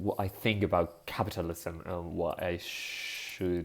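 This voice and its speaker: This man's voice sits at a very deep, low pitch. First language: Spanish. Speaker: vlogger. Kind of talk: casual monologue vlog. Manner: halting, with fillers and self-corrections.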